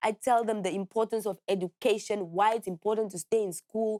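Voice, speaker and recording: Delivered at a moderate pace, the speech has a dry, close sound with no echo in a very clean recording with a silent background. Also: woman. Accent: Namibian. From Namibia, Walvis Bay. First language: Oshikwanyama. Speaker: musician and activist. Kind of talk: interview. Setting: studio.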